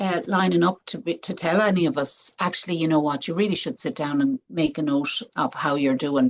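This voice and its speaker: With a plain, everyday voice, a woman speaks fairly quickly at a fairly low pitch, with lively intonation and hardly any pauses. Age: 60s. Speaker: health coach and speaker. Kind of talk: interview conversation.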